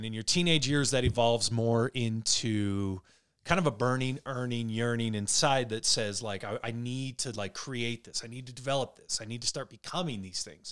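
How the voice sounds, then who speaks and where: At a moderate pace with hardly any pauses, a man talks in a normal speaking voice of medium pitch and ordinary pitch variation. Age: 40s. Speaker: podcast co-host. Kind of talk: casual chat.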